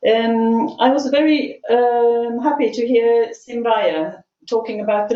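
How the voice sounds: Her tone dark and mellow, a woman speaks at a medium pitch.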